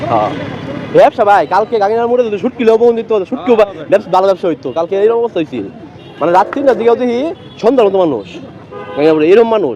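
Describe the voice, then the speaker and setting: A man talks at a high pitch with ordinary variation in it. Noticeable background noise can be heard. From Mymensingh, Bangladesh. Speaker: vlogger. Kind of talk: casual vlog narration outdoors. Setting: outdoors.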